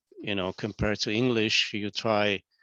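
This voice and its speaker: With a Hungarian accent, a man speaks in a bright, sharp tone. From Hungary. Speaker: business owner. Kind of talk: casual chat.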